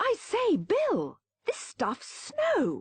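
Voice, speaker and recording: A woman puts on a character voice. It is squeaky and extremely high in pitch. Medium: read story. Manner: polite, well-spoken.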